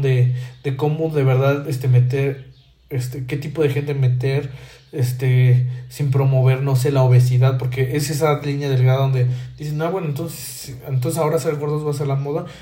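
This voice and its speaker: A man's dark, mellow, somewhat breathy voice, fairly high-pitched, with fairly even intonation, a moderate pace, and audible room echo. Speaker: podcast host. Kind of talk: solo monologue commentary. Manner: halting, many fillers and repetitions.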